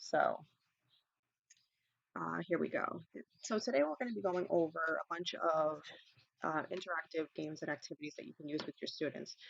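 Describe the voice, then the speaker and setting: Speaking at a moderate pace with a New York accent, the voice leaves long, frequent pauses. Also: woman. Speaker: ESL teacher. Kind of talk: online teacher training webinar. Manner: casual, many fillers and repetitions. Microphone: quiet, mic volume already maxed.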